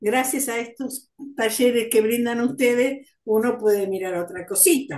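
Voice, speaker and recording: A high-pitched woman's voice with ordinary pitch variation and audible room echo. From Argentina, Buenos Aires province (Tres Arroyos area); Buenos Aires province, Argentina. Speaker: student in a community class. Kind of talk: class discussion. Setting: video call. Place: home room. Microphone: video call.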